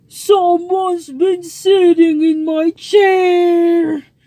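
A growling, put-on character voice at an extremely high pitch, very slow and monotone with flat intonation.

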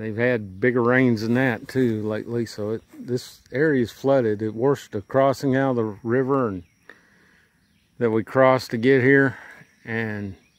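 A man speaks at a moderate pace with fairly even intonation, in dry sound with no echo. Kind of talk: casual vlog chat. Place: open country. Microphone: phone near.

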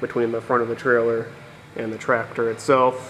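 Faint music plays in the background. The voice holds a monotone, flat intonation. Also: man. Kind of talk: tutorial. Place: workshop. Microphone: phone near.

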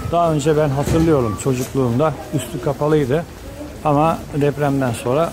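Background noise can be clearly heard. Over it, a man talks with ordinary pitch variation. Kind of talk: walking tour commentary. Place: market. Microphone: phone near.

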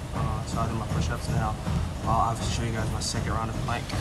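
There is music in the background. A man speaks over it at a fairly quick pace. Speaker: fitness vlogger. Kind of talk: casual vlog chat. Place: gym. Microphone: phone near.

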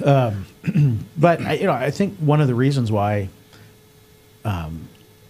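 A man's somewhat breathy voice comes through at a fairly slow pace. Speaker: podcast host. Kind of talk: podcast conversation. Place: studio. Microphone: studio mic.

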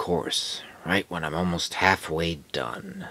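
Speaking at a fairly slow pace, a man puts on a cartoonish character voice with a very deep, low pitch. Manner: angry, exasperated, shouting.

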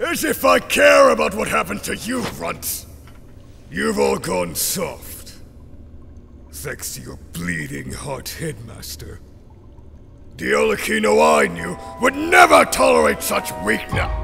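A man uses a put-on character voice, raspy and very deep, at a fairly slow pace with long, frequent pauses. Background noise is clearly audible. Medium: dub. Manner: angry, sneering.

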